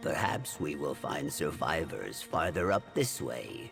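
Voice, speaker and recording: Using a put-on character voice, a man speaks at a fairly slow pace over clear music in the background. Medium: video game. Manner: formal, no contractions, self-assured.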